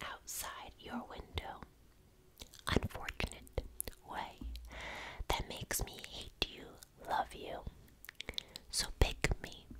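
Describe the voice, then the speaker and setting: A woman talks at a very slow pace, leaving long, frequent pauses, while loud background noise fills the clip. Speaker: ASMR creator. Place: home room. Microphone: studio mic.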